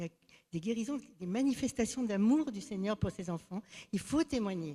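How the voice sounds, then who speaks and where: Very fast and somewhat breathy, a woman speaks with a dark, mellow tone and lively intonation at a medium pitch. The recording is very clean, with a silent background. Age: 70s. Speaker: church member giving testimony. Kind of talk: testimony. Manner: halting.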